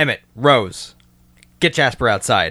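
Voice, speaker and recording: A man's put-on character voice, fairly slow in pace, on a very clean recording with a silent background. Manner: calm, commanding.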